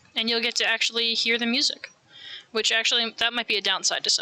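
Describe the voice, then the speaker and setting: An American accent comes through in this speech. There is noticeable background noise behind it. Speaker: streamer. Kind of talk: casual live stream chat while knitting. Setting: home live stream with camera.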